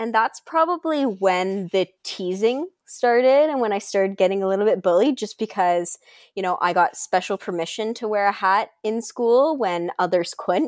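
A woman with a normal speaking voice talks at a fairly quick pace with a fairly high pitch and lively intonation. The sound is dry and close with no echo. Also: very clean recording, silent background. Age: 20s. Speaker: alopecia advocate and social media creator. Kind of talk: interview, personal story.

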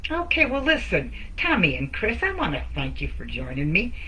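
Audible room echo and noticeable background noise surround a woman speaking in an American accent. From Detroit area, Michigan. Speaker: network marketer and t-shirt designer. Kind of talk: casual live-stream chat. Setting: solo live video.

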